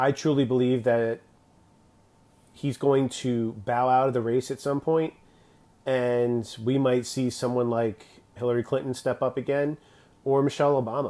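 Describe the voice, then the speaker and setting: Speaking at a moderate pace with long, frequent pauses, a man uses a medium pitch and a dark, mellow tone in a monotone, flat delivery. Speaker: political commentator. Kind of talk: livestream monologue. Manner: loud.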